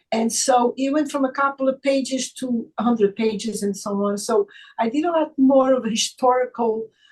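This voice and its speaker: A somewhat breathy woman with a Portuguese accent, at a moderate pace and with ordinary pitch variation. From Portugal. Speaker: author and chiropractor. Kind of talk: casual chat. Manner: halting, with many fillers.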